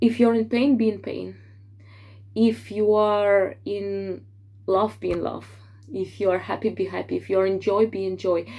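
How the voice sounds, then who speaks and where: A woman with a non-native accent speaks at a moderate pace with long, frequent pauses on a very clean recording with a silent background. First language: not English. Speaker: tarot reader. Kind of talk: tarot forecast monologue. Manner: hesitant with fillers.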